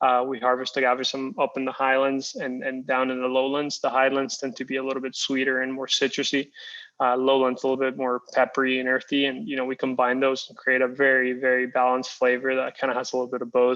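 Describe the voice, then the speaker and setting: In a Spanish accent, a man talks very fast with hardly any pauses, at a medium pitch with monotone, flat intonation. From Costa Rica. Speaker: tequila company founder. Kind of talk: interview. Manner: hesitant, many fillers and repeats.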